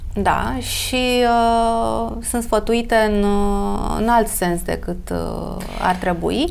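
Very slow pace from a woman amid audible room echo. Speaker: beauty expert. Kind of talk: casual interview.

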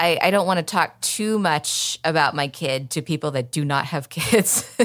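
With an American accent, a woman speaks at a moderate pace with a very deep, low pitch and ordinary pitch variation. The recording is very clean with a silent background. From Oklahoma City, Oklahoma. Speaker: stand-up comedian. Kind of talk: casual interview chat. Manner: halting, many fillers.

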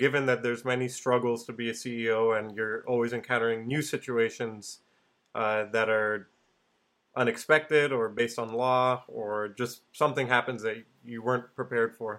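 On a very clean recording with a silent background, a man of medium pitch speaks at a moderate pace in a monotone, flat delivery. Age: young. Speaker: podcast host. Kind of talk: interview.

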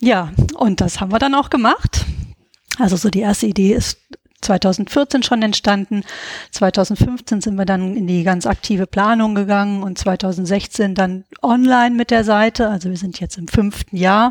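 Her voice is a normal speaking voice, medium in pitch for a woman, with ordinary pitch variation at a fairly slow pace. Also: dry, close sound with no echo. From Hesse, Germany (Gießen). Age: 40s. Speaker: veterinarian and founder of an online training platform. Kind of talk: interview.

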